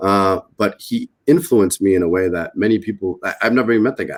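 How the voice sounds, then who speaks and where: A fairly low-pitched man with a Spanish accent, on a very clean recording with a silent background. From Massachusetts (Lawrence), US. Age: 30s. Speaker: author and business leader. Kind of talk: interview conversation.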